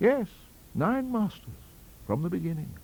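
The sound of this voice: Using a put-on character voice, a man speaks at a fairly slow pace with a high pitch, big pitch swings, vocal fry and a slightly mellow tone.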